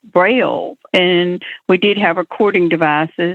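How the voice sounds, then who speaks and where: A fairly slow, fairly even delivery with an Alabama accent. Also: woman. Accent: Southern US (Alabama). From US South, Alabama. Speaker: blind entrepreneur. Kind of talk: interview.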